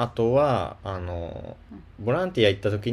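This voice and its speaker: A man with an unremarkable speaking voice talks at a fairly low pitch and a moderate pace. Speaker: podcast co-host. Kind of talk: casual chat.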